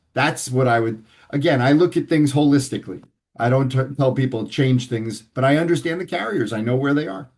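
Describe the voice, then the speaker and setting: A man with an American accent talks in an ordinary speaking voice at medium pitch. His pace is fairly quick, his pitch variation ordinary, and the background quiet. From New York City (Manhattan). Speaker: financial advisor. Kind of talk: interview.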